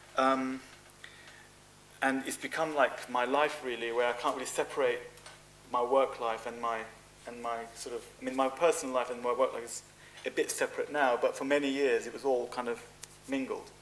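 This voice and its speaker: A man speaks at a medium pitch and a moderate pace, with a flat, monotone delivery. His long pauses come often, and there is noticeable noise in the background. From Cyprus. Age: 40s. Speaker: fashion designer. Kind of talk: interview.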